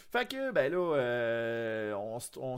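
The man talks at a medium pitch with a Quebec accent. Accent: Québécois French. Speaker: podcast host. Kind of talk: casual chat. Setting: video call.

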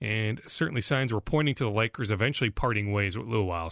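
In a plain, everyday voice, a man with an American accent speaks at fairly low pitch with ordinary pitch variation. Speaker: sports reporter and podcast host. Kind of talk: sports news podcast monologue and interview.

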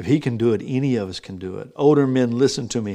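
With an American accent and a dark, mellow tone, a man talks at a moderate pace. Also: very clean recording, silent background. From Texas. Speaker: pastor. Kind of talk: sermon. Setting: live stream. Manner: animated.

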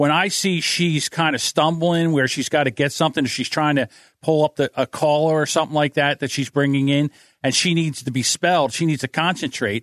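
Using a normal speaking voice, a man with an American accent talks at a fairly quick pace in a dry, close sound with no echo. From New Jersey. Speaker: podcast audio producer. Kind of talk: casual chat. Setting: video call.

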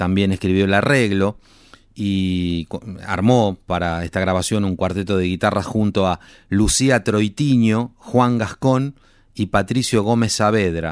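On a very clean recording with a silent background, a man with a fairly low pitch speaks at a fairly slow pace with ordinary pitch variation, a plain, everyday voice. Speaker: radio host. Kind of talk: radio presenting.

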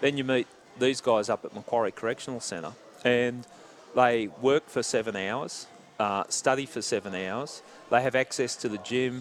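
This man has an Australian accent. The rise and fall of his pitch is ordinary. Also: medium pitch for a man, moderate pace. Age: 60s. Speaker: former homicide detective. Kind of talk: casual interview. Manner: halting.

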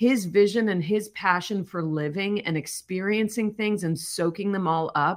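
In an American accent, a woman speaks at a moderate pace and medium pitch with ordinary pitch variation, an ordinary speaking voice. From US Midwest, Chicago area. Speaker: documentary director. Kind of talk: interview.

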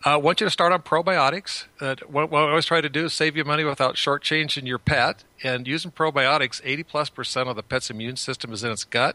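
At a very fast pace with hardly any pauses, a man speaks in a bright, sharp tone and fairly high pitch, with ordinary pitch variation and a dry, close sound with no echo. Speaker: veterinarian. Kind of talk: casual chat.

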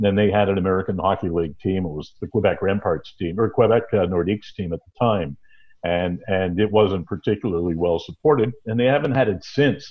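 A man with a Canadian accent and an unremarkable speaking voice, fairly low in pitch, at a fairly quick pace with ordinary pitch variation. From Cornwall, Ontario, Canada. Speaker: veteran hockey broadcaster. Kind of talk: interview.

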